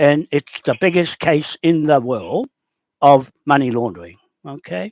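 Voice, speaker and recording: Recorded with a dry, close sound and no echo, a man speaks at a fairly slow pace with a fairly high pitch in a New Zealand accent. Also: lively intonation. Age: 70s. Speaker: land claims campaigner. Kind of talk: phone call. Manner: halting.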